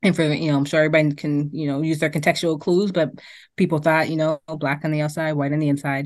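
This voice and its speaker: A woman talks at a very fast pace in a very deep, low pitch. Her intonation is monotone and flat, over a quiet background. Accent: American. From Boston. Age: 40s. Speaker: DJ and university staff. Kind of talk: casual chat.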